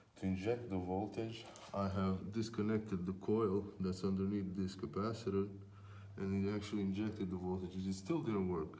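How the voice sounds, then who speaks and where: There is audible room echo as a man talks with fairly even intonation. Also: moderate pace. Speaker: electronics repair technician. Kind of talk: casual tutorial vlog. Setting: unheated workshop. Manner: hesitant, many fillers.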